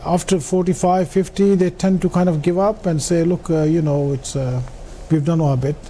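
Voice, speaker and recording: At a moderate pace, a man speaks in a high pitch with a dark, mellow tone. His pitch moves in an ordinary way. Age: 60s. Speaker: businessman. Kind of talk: interview on live business show. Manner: hesitant, many fillers.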